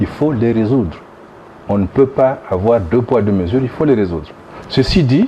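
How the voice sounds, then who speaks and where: Against noticeable background noise, a man of medium pitch speaks at a moderate pace with lively intonation and long, frequent pauses. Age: 60s. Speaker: former government minister, opposition politician. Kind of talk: interview. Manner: halting with repeated false starts.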